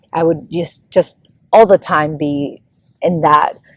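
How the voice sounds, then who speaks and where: Heard in a dry, close recording with no echo, a woman with a fairly low voice speaks at a fairly slow pace. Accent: Spanish. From Venezuela. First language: Spanish. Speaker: pop singer. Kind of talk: casual interview. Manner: halting.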